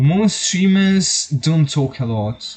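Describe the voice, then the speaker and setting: A somewhat breathy male voice. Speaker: vtuber streamer. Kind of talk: casual gaming stream chat. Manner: halting.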